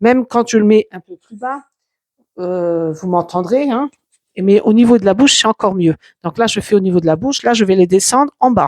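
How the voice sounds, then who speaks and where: A woman speaks at a moderate pace in an unremarkable speaking voice of medium pitch. Her loudness swings widely, and the sound is dry and close with no echo. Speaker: YouTuber testing a microphone. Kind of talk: product test demonstration. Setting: at home, walking between rooms. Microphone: cheap clip-on lavalier mic on collar.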